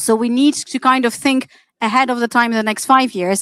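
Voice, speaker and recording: The voice carries an Arabic accent at a fairly quick pace. The sound is dry and close with no echo. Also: woman. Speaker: AI practitioner, panelist. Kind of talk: panel discussion.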